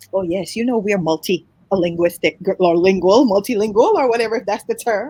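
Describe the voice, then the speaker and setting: With an American accent and a dark, mellow tone, a woman talks at a medium pitch and fairly quick pace with hardly any pauses, the sound dry and close with no echo. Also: ordinary pitch variation. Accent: full Jamaican accent, can switch to American. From Jamaica, Kingston. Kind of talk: interview.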